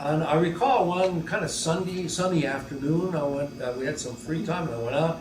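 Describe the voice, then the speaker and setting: This man's voice sits fairly high, and he talks at a moderate pace. Room echo is audible, along with noticeable background noise. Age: 80s+. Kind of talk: catechesis talk to a lay audience. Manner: hesitant, many fillers.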